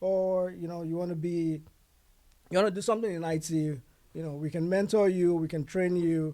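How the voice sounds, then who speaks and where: Speaking at a moderate pace, a man uses a high pitch with a dark, mellow tone and fairly even intonation. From Nigeria (Yoruba). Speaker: IT consulting founder. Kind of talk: podcast interview. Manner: hesitant, many fillers.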